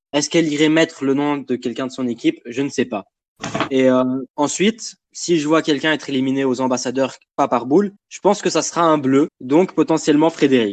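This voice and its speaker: A man speaks with an unremarkable speaking voice, fairly high in pitch. His pace is fairly quick, with ordinary pitch variation. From Lebanon. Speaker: reality game fan. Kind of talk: casual chat.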